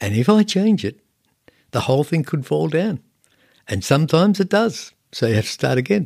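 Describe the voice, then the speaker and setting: A man's fairly high voice with an Australian accent, very wide pitch swings and long, frequent pauses, in dry, close sound with no echo. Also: moderate pace, very clean recording, silent background. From Australia, southern Sydney (Cronulla area). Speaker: landscape painter and art teacher. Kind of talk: casual interview. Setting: artist's studio.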